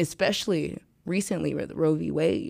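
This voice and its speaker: In an American accent, a woman with a very deep, low pitch and vocal fry talks at a moderate pace. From US Midwest, St. Louis. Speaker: event founder and promoter. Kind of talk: casual interview. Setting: studio.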